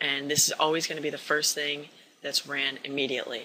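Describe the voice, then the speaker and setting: The speech moves at a fairly quick pace with monotone, flat intonation. Noticeable background noise runs under it. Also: man. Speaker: programming tutorial maker. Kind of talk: tutorial. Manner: casual.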